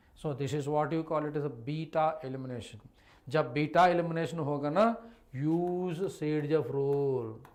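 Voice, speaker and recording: In a room with audible echo, a man with a fairly high voice speaks at a moderate pace, his intonation fairly even. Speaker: chemistry teacher. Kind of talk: online live class lecture. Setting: live online stream with chat.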